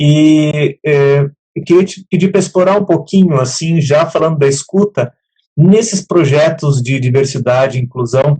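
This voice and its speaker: Fairly high in pitch, a man's voice comes across as somewhat breathy. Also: ordinary pitch variation, moderate pace. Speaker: program host. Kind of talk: live talk show hosting. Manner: relaxed, conversational.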